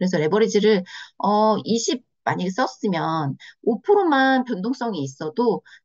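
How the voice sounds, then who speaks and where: Lively intonation from a woman with a fairly high pitch, at a moderate pace. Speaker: trading instructor. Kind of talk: online lecture. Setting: video call. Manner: many filler pauses; stumbling over words.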